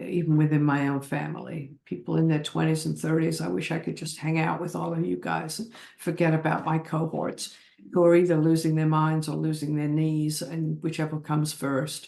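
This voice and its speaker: This woman's tone is dark and mellow, with a very deep, low pitch. She talks at a moderate pace with fairly even intonation. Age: 80s+. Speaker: oral history interviewee. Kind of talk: oral history interview. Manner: halting.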